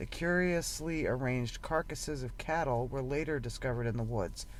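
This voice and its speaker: A man at a fairly quick pace amid audible room echo. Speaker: podcast host. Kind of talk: reading aloud. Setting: in a parked van. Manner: halting.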